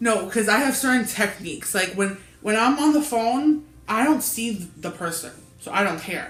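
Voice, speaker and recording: Noticeable background noise runs through the clip. A woman talks at a moderate pace. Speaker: book channel co-host. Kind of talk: casual chat. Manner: halting, repetitions.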